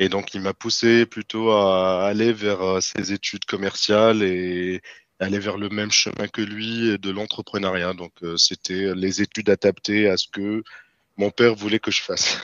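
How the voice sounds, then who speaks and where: A man with a fairly low pitch talks at a fairly slow pace in a monotone, flat delivery. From Tunisia, Tunis. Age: 30s. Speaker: freelance software developer. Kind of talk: interview. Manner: hesitant, many fillers.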